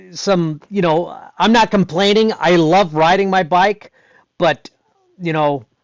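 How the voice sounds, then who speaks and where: Pausing long and often, a man speaks at a fairly slow pace in a high pitch with ordinary pitch variation. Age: 60s. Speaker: stunt performer and BMX rider. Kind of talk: interview conversation. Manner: halting, many repetitions.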